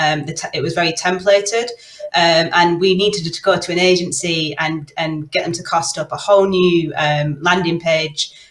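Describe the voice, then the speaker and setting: A woman's fairly low voice with a Manchester accent, fairly even intonation and a moderate pace, over noticeable background noise. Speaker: product owner. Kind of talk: panel discussion.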